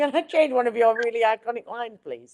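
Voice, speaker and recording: A woman talks at a very fast pace. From Accrington, Lancashire. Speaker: actress. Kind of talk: interview answer.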